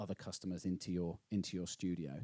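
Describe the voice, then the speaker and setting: The man's dark, mellow tone comes across at a moderate pace in a dry, close sound with no echo. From English Midlands. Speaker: panel moderator, business executive. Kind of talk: panel discussion. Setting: stage with audience. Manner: hesitant, many fillers.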